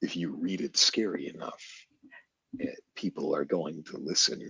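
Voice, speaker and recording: A man talks at a fairly slow pace with an American accent. His speech has long, frequent pauses. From United States. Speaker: voice actor. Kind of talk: podcast interview answer.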